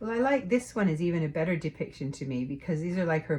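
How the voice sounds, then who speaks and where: A woman speaks very fast in a very deep, low voice that is dark and mellow in tone. She sounds somewhat breathy, with lively intonation. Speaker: tarot reader, co-host. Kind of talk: casual chat.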